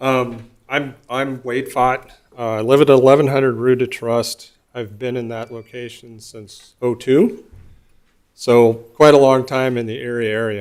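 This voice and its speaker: Using an unremarkable speaking voice, a man with an American accent talks at medium pitch and a fairly slow pace, with fairly even intonation and big swings in loudness. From US Midwest. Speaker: resident giving public comment. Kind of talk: public comment at council meeting.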